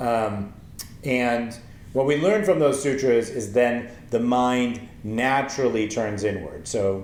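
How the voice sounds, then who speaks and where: Very slow speech from a man, with audible room echo. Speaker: meditation teacher. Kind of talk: tutorial. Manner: halting.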